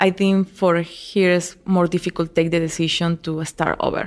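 In a very clean recording with a silent background, a woman with a Spanish accent speaks at a fairly slow pace in a fairly low, monotone, flat voice. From Venezuela (El Vigía). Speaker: hiking club founder. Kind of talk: interview.

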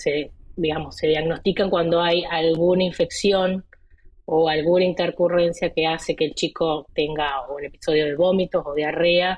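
Fairly slow and monotone, a woman speaks at a fairly low pitch with flat intonation. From Argentina, Entre Ríos. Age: 30s. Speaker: physician and rare disease patient. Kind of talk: interview.

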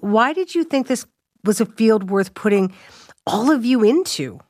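A woman with a Canadian accent speaks in a plain, everyday voice at a fairly high pitch and a moderate pace. Her intonation is lively, and the recording is very clean with a silent background. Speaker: radio host. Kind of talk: radio interview.

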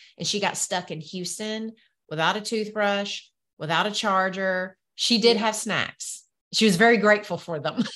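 A woman talks at a medium pitch with a Southern US accent and a bright, sharp tone. Her intonation is fairly even, and the background is quiet. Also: moderate pace. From US South. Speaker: entrepreneur and business coach. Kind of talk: casual interview chat.

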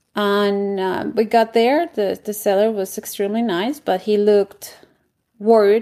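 Dark and mellow in tone, a woman speaks with a Colombian accent. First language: Spanish. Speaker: real estate investor. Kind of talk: interview.

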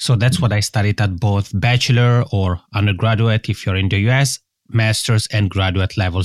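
On a very clean recording with a silent background and dry, close sound with no echo, a man with an Italian accent speaks at a moderate pace in a somewhat breathy, medium-pitched voice with ordinary pitch variation. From Italian-speaking Switzerland. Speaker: podcasting consultant. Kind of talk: interview.

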